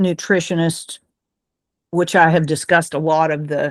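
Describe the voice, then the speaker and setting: A woman with a normal speaking voice and a fairly low pitch talks at a fairly slow pace, the sound dry and close with no echo against a quiet background. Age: 60s. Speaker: book club host. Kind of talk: casual group discussion.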